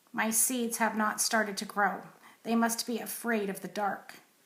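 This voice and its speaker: A woman's raspy, put-on character voice, fairly high in pitch, monotone and flat, at a moderate pace. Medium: read story.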